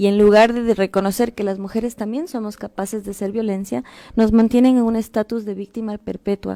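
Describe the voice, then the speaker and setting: Her voice sits fairly high and has a dark, mellow tone as this woman talks at a fairly quick pace with fairly even intonation, the sound dry and close with no echo. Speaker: activist. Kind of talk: interview.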